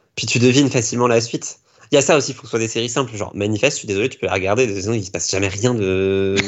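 A man speaks at medium pitch. His pace is very fast, with ordinary pitch variation. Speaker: blogger and TV series enthusiast. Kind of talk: casual chat. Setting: live stream.

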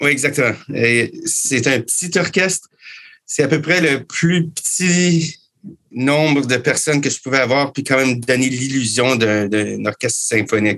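In a Canadian French accent, a man speaks at a fairly slow pace, with medium pitch and ordinary pitch variation. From Canada. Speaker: musician and composer. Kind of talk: interview.

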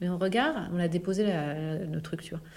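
A woman talks at a very fast pace. Her pitch is medium, with ordinary variation. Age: 40s. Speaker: health network founder, former public health official. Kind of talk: casual interview. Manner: animated.

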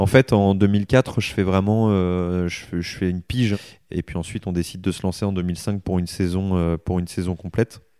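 A man speaks at a moderate pace with a very deep, low pitch, a dark, mellow tone and fairly even intonation. The sound is dry and close with no echo, and the recording is very clean with a silent background. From northern France, Aisne (Picardy). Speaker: motorcycle racer. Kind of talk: interview. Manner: hesitant, many fillers and repetitions.

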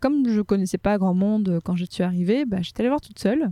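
A woman's medium-pitched, dark, mellow voice at a fairly quick pace, with lively intonation, on a very clean recording with a silent background. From Morocco, Casablanca. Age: 20s. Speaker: history podcaster. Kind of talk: casual chat.

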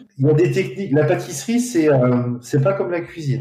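Noticeable noise fills the background as a man talks fairly quickly. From France. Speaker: pastry chef. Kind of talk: interview. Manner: hesitant. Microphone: poor sound quality.

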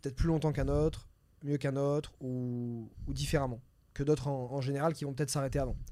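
In a very clean recording with a silent background, a man speaks with a dark, mellow tone at a fairly high pitch. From southern France, near Nice. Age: 30s. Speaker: entrepreneur and real estate investor. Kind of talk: casual interview.

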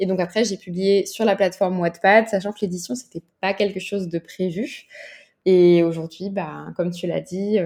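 A woman speaks at a moderate pace with a dark, mellow tone and medium pitch. Her loudness swings widely while her intonation stays fairly even. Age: 20s. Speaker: novelist. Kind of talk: casual interview.

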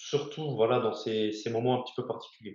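There is audible room echo around a man talking at medium pitch. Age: 30s. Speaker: navy helicopter rescue diver. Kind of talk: interview. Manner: halting, many hesitations.

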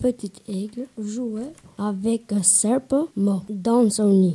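In a dry, close sound with no echo, a man speaks at a very slow pace. His voice is high-pitched with a dark, mellow tone and ordinary pitch variation. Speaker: storyteller, French learner. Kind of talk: storytelling, reading a tale aloud. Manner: halting, careful, uneven pacing; steady narration, growing fluency.

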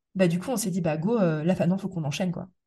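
A somewhat breathy woman's voice with a dark, mellow tone. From Metz, eastern France. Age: 30s. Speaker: property investor and podcast host. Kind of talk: casual interview.

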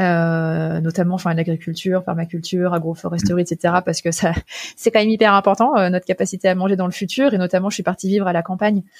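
Very fast speech from a woman at a medium pitch with fairly even intonation. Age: 30s. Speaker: founder and CEO of a sustainable mobility company. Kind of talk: interview. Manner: hesitant, many fillers.

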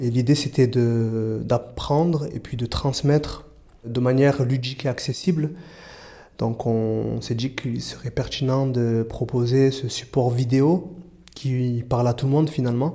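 Somewhat breathy, dark and mellow tone at a fairly slow pace. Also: man, medium pitch for a man, fairly even intonation. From Marseille, southern France. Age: 30s. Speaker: youth prevention worker. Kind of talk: interview testimony. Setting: outdoors.

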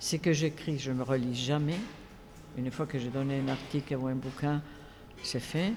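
A woman with a Spanish accent, a very deep, low pitch and fairly even intonation, at a moderate pace. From Spain. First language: Spanish (speaking French). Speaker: film festival director and academic. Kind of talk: interview. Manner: halting.

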